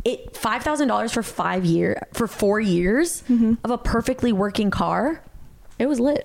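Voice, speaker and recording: At a moderate pace, a woman with an American accent and a fairly high pitch sounds animated, her intonation lively and loudness very even, amid noticeable background noise. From Colombia, raised in the US from age seven. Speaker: podcast co-host. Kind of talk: casual chat. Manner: giggly, animated.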